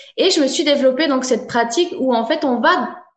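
In a high-pitched voice, a woman speaks at a moderate pace with lively intonation, and audible room echo surrounds her. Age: 30s. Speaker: soul therapist and coach. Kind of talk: interview.

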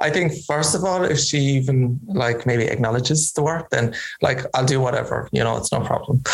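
Against noticeable background noise, a man with a Kerry accent speaks in a fairly high pitch with ordinary pitch variation, very even loudness and hardly any pauses. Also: moderate pace. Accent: Kerry Irish. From Ireland, County Kerry. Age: 30s. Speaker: fashion designer. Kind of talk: interview. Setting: video call.

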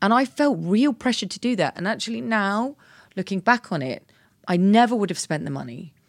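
A woman's medium-pitched voice with a British accent and very wide pitch swings, at a fairly quick pace, in a very clean recording with a silent background and a dry, close sound with no echo. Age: 40s. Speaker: body positivity activist, former stylist. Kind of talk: casual chat.

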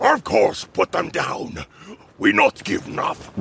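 The man speaks at a fairly slow pace in an extremely high pitch. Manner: savage, threatening.

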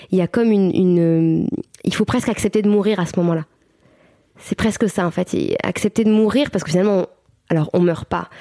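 A woman's dark, mellow voice at medium pitch, fairly quick in pace, with long, frequent pauses. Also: ordinary pitch variation, dry, close sound with no echo. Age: 30s. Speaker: mother and birth-support practitioner. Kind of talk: interview testimony. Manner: halting, many fillers.

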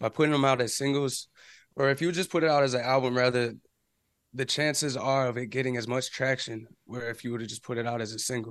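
Against a quiet background, a man with medium pitch talks at a moderate pace in an ordinary speaking voice with fairly even intonation. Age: 20s. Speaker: independent musician and music business YouTuber. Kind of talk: casual interview.

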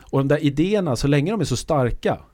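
A man's fairly high-pitched voice with vocal fry and a dark, mellow tone, on a very clean recording with a silent background. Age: 50s. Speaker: futurist. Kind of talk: casual chat. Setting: studio.

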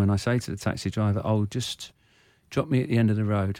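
A man speaks with an English accent at a fairly quick pace. His pitch is fairly low, his intonation fairly even, and his tone dark and mellow. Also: very clean recording, silent background. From England, Irish parents. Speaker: former footballer and football manager. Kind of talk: casual interview chat, personal conversation. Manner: quiet, shy.

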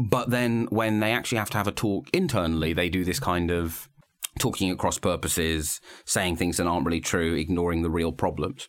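A man with a British accent and a very deep, low voice speaks at a fairly quick pace. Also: ordinary pitch variation, very even loudness. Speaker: political journalist and podcast host. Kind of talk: casual political discussion. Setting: studio.

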